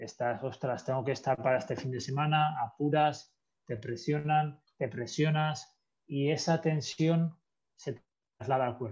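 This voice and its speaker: A man's fairly high pitch, somewhat breathy, at a fairly slow pace with ordinary pitch variation. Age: 30s. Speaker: sports psychologist. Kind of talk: interview.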